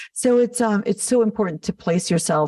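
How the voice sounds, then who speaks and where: A woman with an American accent speaks in a dark, mellow, somewhat breathy tone with ordinary pitch variation. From Los Angeles, US. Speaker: makeup artist and business founder. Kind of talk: podcast interview.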